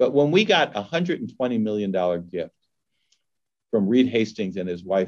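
Here is a man with an ordinary speaking voice and an American accent. His pitch is fairly low with ordinary variation, and his pace is moderate. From Los Angeles, California. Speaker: nonprofit executive. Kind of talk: fireside chat interview.

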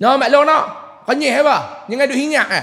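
Against a quiet background, a man speaks with a Kedah accent at a fairly quick pace. His pitch is extremely high. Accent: northern Malay (Kedah) dialect. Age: 30s. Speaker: preacher. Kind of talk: religious lecture. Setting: mosque with audience. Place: church. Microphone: headset.

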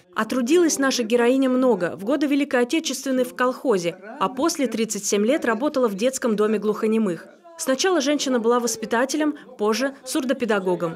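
Over noticeable background noise, a high-pitched woman talks at a fairly quick pace. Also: lively intonation. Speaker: news reporter. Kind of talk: TV news narration.

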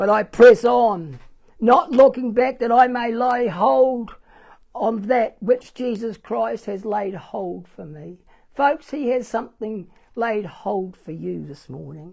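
Against a quiet background, a woman with a New Zealand accent speaks very slowly at a fairly high pitch. Her intonation is lively and her loudness swings widely. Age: 70s. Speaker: pastor. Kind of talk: sermon. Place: church. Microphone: lapel.

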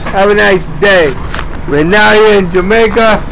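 Against noticeable background noise, a man speaks at a fairly slow pace with ordinary pitch variation. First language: not English (English is third language). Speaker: video blogger. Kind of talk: personal video log, ranting monologue. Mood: aggrieved, agitated. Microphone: phone near.

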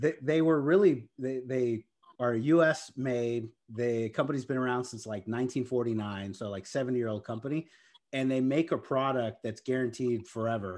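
Against a quiet background, a man in a Texan accent talks at a moderate pace with ordinary pitch variation. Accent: Texan American. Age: 40s. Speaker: real estate investor and tech sales executive; tech sales executive. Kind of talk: interview. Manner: enthusiastic. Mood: cheerful, enthusiastic. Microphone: video call.

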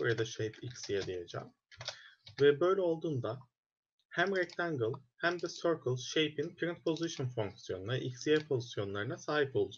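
Over light background noise, a man talks at a moderate pace in a fairly high, somewhat breathy voice with lively intonation. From Turkey. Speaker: programming instructor; student course instructor. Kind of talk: lecture. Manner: hesitant, many fillers.

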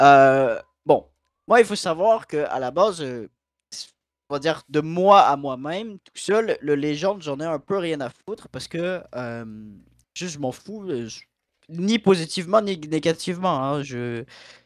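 Speaking very slowly with a Quebec accent, a man uses lively intonation, big swings in loudness and long, frequent pauses, recorded dry with no echo against a quiet background. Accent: Québécois French. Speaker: regular stream participant. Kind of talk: casual chat. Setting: voice chat. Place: home room.

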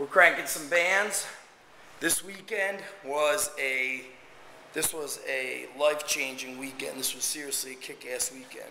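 A man talks at a fairly slow pace with ordinary pitch variation and big swings in loudness, amid light background noise and audible room echo. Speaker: strength coach. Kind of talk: casual vlog chat. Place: gym. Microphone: phone near.

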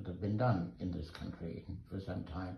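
Through audible room echo and light background noise, a man talks at a moderate pace. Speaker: sculptor. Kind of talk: casual chat. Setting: studio. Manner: halting. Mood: admiring, relaxed. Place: workshop.

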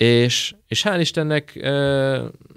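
A man's voice against a quiet background. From Debrecen, eastern Hungary; Hungary. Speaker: footballer; guest. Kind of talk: interview. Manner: halting, many repetitions and fillers. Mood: relaxed, cheerful. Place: studio. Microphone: studio mic.

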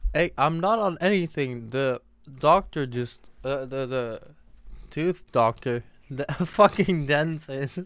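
Speaking at a very slow pace with ordinary pitch variation, a man is heard in a dry, echo-free sound over a quiet background. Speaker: game streamer. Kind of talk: casual stream chat. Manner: numb-mouthed, slurred, woozy after dental sedation. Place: home room. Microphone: studio mic.

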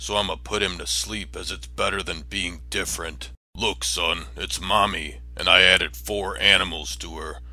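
Barely pausing, a man delivers a raspy, put-on character voice. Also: moderate pace. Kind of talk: comedic parody dub.

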